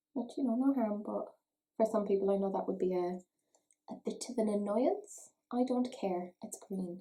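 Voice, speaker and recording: In an Irish accent, a woman speaks at a medium pitch and moderate pace. Her dark, mellow tone is somewhat breathy. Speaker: beauty YouTuber. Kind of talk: makeup review vlog. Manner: chatty.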